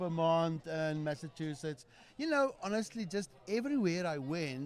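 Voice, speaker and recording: Over a silent background in a very clean recording, a man with a South African accent speaks at a moderate pace in a high pitch, his intonation lively. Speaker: podcast guest. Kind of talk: casual chat.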